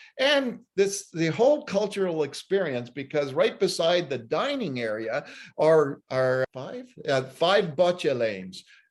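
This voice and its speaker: Against a quiet background, a high-pitched man with a Canadian accent speaks at a fairly slow pace with very wide pitch swings. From Ottawa, Ontario, Canada. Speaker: journalist. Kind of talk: interview. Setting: video call.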